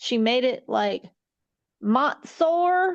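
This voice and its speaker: Speaking at a very slow pace, a woman's voice moves through very wide pitch swings. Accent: Appalachian. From East Tennessee. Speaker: film review podcast co-host. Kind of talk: casual chat. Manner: animated.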